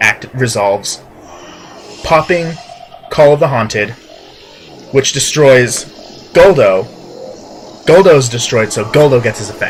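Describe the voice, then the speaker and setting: Music plays in the background as a man speaks in an animated tone with lively intonation. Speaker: video game commentator. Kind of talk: gameplay commentary. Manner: halting, self-correcting; casual, animated.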